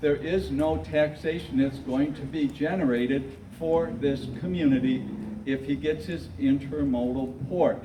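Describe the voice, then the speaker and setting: A man with an American accent at a fairly slow pace and fairly high pitch, ordinary pitch variation, audible room echo and noticeable background noise. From Michigan. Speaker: retired school teacher. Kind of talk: public meeting speech. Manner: halting.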